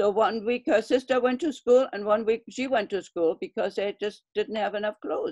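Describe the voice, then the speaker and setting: Speaking with a German accent, a woman uses a fairly high pitch, ordinary pitch variation and a moderate pace with hardly any pauses, recorded with a dry, close sound and no echo. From Germany (Berlin). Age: 80s+. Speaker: Berlin airlift witness. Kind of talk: oral history interview.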